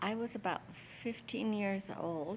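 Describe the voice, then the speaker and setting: A woman with a New Mexico accent. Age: 80s+. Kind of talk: interview answer.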